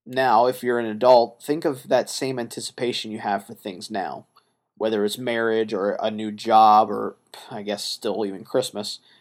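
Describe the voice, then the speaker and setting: At a moderate pace, a man with a medium pitch and a plain, everyday voice talks with fairly even intonation and big swings in loudness, on a very clean recording with a silent background. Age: 30s. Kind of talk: solo monologue podcast.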